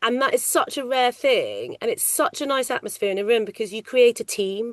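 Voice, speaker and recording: Loud speech at a fairly quick pace, dry and close with no echo. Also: woman, high pitch for a woman, ordinary pitch variation. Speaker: ADR loop group casting coordinator. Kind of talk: interview.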